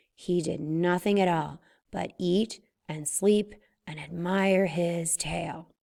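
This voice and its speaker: A woman puts on a raspy character voice. It sits at a fairly low pitch and moves at a fairly slow pace. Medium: read story. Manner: slow, wise, storytelling.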